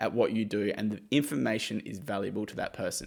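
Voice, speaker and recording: This man has an Australian accent and an energetic tone, with ordinary pitch variation. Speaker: YouTuber giving money-making advice. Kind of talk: direct-to-camera explainer. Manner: casual, energetic.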